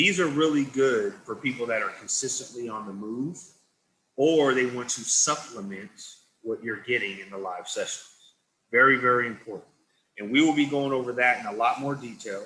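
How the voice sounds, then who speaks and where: Big swings in loudness mark this man's bright, sharp tone, with ordinary pitch variation. Audible room echo can be heard. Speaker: product trainer. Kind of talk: product training presentation. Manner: deliberately slowed-down pace. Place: home room. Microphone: video call.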